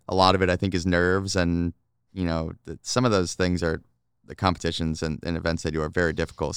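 A man with a very deep, low voice talks very fast, the sound dry and close with no echo. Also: very clean recording, silent background. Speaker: hockey team reporter. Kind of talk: casual chat. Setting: indoor arena recording spot.

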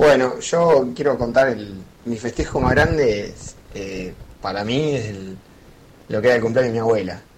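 The loudness swings a lot while pitch varies in an ordinary way at a moderate pace. Noticeable background noise and audible room echo are present. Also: man, medium pitch for a man. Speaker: listener sending audio. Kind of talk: voice message.

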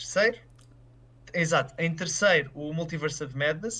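At a moderate pace, a man speaks with a fairly high pitch, ordinary pitch variation and a bright, sharp tone. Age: 20s. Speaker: film commentator. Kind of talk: casual discussion.

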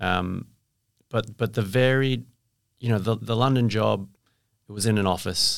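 Pausing long and often, a man with an Australian accent talks at medium pitch and a moderate pace with fairly even intonation. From Perth, Western Australia. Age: 40s. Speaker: franchise marketing director. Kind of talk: interview. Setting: studio, drinking wine.

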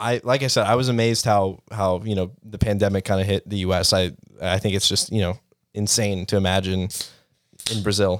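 On a very clean recording with a silent background, a man speaks at a moderate pace with fairly low pitch and fairly even intonation. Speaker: podcast host. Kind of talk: casual chat.

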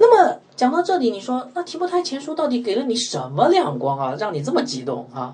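A man talks at a fairly quick pace with hardly any pauses while noticeable background noise runs underneath. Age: 40s. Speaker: pastor. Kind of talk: sermon. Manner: many filler sounds.

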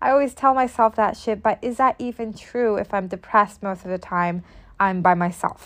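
The speaker has an unremarkable speaking voice and moves at a moderate pace with ordinary pitch variation. The background is quiet. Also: woman, medium pitch for a woman. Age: 20s. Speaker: podcast host. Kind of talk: solo monologue podcast.

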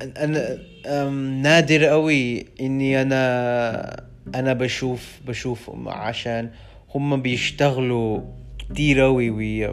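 In an English accent, a man speaks at a very slow pace and medium pitch. His intonation is monotone and flat, and the room echo is audible. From London, England. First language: English (speaking Arabic). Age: 20s. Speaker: language student. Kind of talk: solo podcast monologue. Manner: halting, many hesitations.

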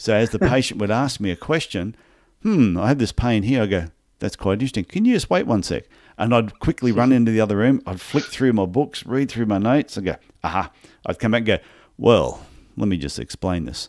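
A man with a medium-pitched voice talks at a fairly quick pace with lively intonation in a very clean recording with a silent background. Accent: Australian. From Australia (Brisbane, Queensland). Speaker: podiatrist and business coach. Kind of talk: interview.

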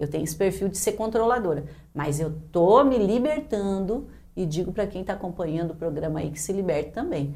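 Noticeable background noise and audible room echo accompany the woman speaking. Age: 50s. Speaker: public servants' union president. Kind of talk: casual chat.

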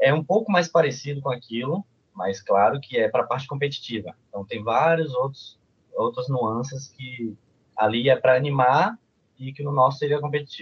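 Somewhat breathy and fairly high-pitched, a man talks at a moderate pace with lively intonation. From Salvador, Bahia, Brazil. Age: 20s. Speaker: university student and cheerleading athlete. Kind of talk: casual podcast interview.

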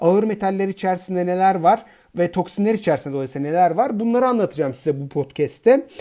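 The speech runs at a very fast pace. The recording is very clean, with a silent background. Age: 40s. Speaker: fertility doctor. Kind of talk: educational podcast monologue. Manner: hesitant fillers.

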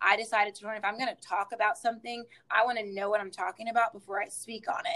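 A woman speaks with a Southern US accent. Her pitch is fairly high. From South Carolina, Hartsville. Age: 20s. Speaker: dance teacher and choreographer. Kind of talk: interview testimony.

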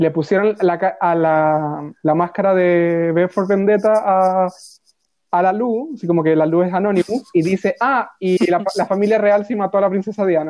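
The speaker has a Chilean accent. The pace is fairly slow. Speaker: podcast co-host. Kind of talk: casual chat.

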